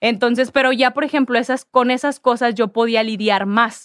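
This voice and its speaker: A woman's high-pitched voice. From Mexico, Ciudad Victoria, Tamaulipas. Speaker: sports agency founder. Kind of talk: casual interview.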